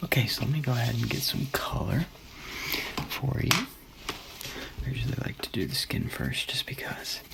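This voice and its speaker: A man whispering at a moderate pace, with long, frequent pauses and noticeable background noise. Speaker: artist character. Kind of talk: ASMR roleplay. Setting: home studio microphone. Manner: soft-spoken.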